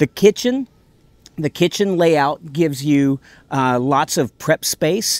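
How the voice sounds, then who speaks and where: A man speaks very slowly at a fairly high pitch with ordinary pitch variation. The sound is dry, with no echo. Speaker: trade show vendor. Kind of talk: product demo sales pitch. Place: open country.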